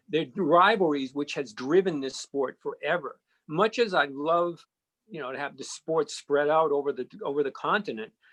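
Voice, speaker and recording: A man with a Boston accent and a fairly high pitch talks at a moderate pace with ordinary pitch variation and big swings in loudness, the sound dry and close with no echo. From Boston area, Massachusetts (Needham). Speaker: sports radio and TV host. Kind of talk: podcast interview.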